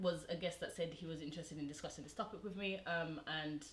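A woman with a fairly low pitch talks at a very fast pace, her somewhat breathy voice fairly even in intonation, with light background noise and audible room echo. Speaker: show host. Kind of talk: casual discussion. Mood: earnest, thoughtful. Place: home room.

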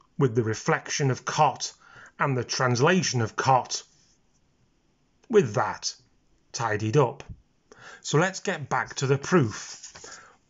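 This man's voice sits at medium pitch, somewhat breathy, with lively intonation. He speaks at a very slow pace with long, frequent pauses. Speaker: maths teacher. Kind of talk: educational maths explanation, casual talk to camera. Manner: relaxed, low-key, informal.

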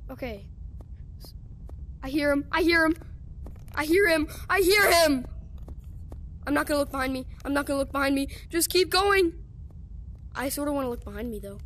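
Her voice is high-pitched, and long pauses come often. Noticeable background noise sits behind the woman. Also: ordinary pitch variation. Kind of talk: casual gameplay commentary.

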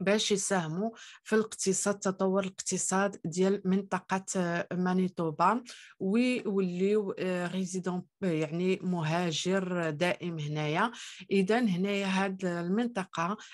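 A woman talks at a very slow pace and medium pitch. Behind her the background is quiet. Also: fairly even intonation, very even loudness. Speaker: immigration YouTuber. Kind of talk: tutorial. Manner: hesitant with frequent fillers.

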